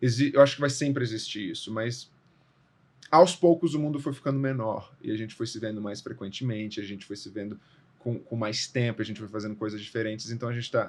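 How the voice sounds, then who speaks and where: A man at medium pitch, fairly quick pace, ordinary pitch variation and big swings in loudness. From Brazil, Brasília. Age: 30s. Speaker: actor and theatre director. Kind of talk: podcast interview. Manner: casual, with false starts.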